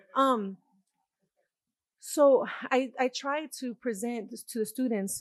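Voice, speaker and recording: The sound is dry and close with no echo, set against a quiet background. A woman speaks with ordinary pitch variation. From New York, Puerto Rican. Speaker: university art professor. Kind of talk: panel talk. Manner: animated, casual.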